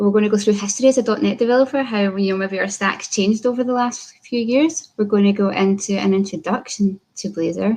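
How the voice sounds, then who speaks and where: A woman with a Scottish accent speaks in a somewhat breathy voice. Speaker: software developer. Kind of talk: conference talk.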